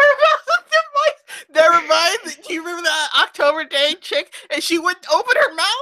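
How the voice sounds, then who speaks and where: Speaking at a moderate pace with hardly any pauses, a woman projects a raised voice at an extremely high pitch with very wide pitch swings, the sound dry and close with no echo. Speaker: booktube live show host. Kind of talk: casual chat.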